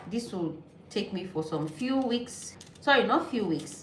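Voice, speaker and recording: A woman with a Nigerian accent talks at a fairly slow pace, her pitch swinging very widely. Noticeable background noise and audible room echo fill the recording. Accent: Nigerian (Yoruba) English. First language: Yoruba. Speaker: vlogger. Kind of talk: casual vlog talk while cooking.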